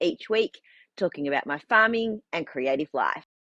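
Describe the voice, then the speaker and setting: Fairly low-pitched woman's voice with an Australian accent, bright, sharp tone and very wide pitch swings, at a moderate pace, dry and close with no echo against a quiet background. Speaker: farmer and knitting vlogger. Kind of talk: casual vlog chat. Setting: in a shed on the farm.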